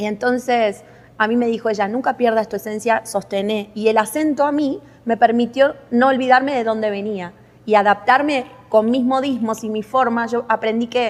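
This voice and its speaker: A moderate pace carries the speech. Its intonation is fairly even. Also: woman, fairly high pitch for a woman. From Argentina. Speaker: podcast host. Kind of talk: interview.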